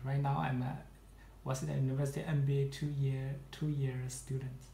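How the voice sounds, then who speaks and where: Light background noise and audible room echo accompany a man speaking at a fairly quick pace. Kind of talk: interview answer. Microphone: phone near.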